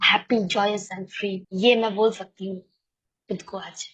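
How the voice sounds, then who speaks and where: A woman's fairly high voice comes across somewhat breathy. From Kolkata, West Bengal, India. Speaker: recovering alcoholic sharing at a support meeting. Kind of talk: testimony. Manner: halting, many fillers.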